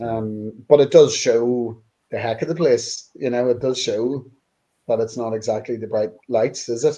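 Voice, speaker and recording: A man's medium-pitched voice with fairly even intonation and a strong Northern Irish accent. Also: fairly slow pace. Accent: Northern Irish (Newry), strong. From Northern Ireland, Newry. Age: middle-aged. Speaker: band member. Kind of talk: casual chat.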